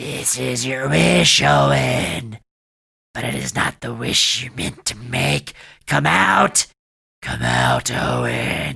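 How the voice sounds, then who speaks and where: Growling and raspy, a man's put-on character voice drops to a very deep, low pitch at a very slow pace. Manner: growling, menacing.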